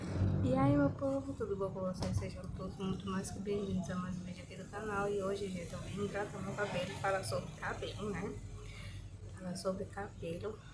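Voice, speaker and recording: A woman speaks at a moderate pace. Room echo is audible, and background noise is noticeable. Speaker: hair care vlogger. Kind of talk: casual vlog chat. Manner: soft-spoken, quiet.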